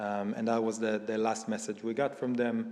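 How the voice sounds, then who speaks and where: A man at medium pitch over noticeable background noise. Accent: Israeli. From Israel. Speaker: event speaker. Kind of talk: personal testimony talk. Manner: halting, many fillers.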